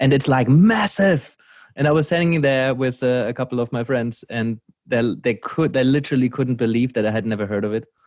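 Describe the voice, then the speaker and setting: A man with a German accent at medium pitch, fairly quick in pace with ordinary pitch variation, on a very clean recording with a silent background. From Germany. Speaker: podcast host, coach. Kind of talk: casual chat.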